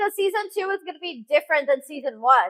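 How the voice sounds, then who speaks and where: A woman's raised, projected voice has a bright, sharp tone and very wide pitch swings. The sound is dry and close, with no echo. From US, child of Russian-Uzbek immigrants. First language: Russian. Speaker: fitness influencer and game show contestant. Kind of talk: casual interview.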